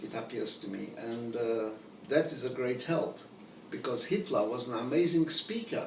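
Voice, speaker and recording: Audible room echo and noticeable background noise surround the speech. The pace is fairly slow. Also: man. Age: 90s. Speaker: Holocaust survivor, speaker. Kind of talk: interview conversation.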